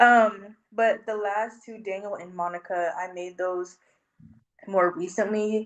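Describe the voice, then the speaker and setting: A woman's fairly even intonation at a fairly slow pace. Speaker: sculptor. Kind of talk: interview. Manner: hesitant, many fillers.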